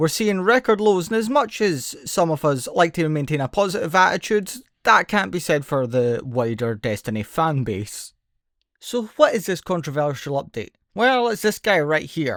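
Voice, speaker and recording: Very wide pitch swings mark this speech with a Scottish accent, in a very clean recording with a silent background. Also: man, high pitch for a man, moderate pace. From Scotland. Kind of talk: gaming commentary.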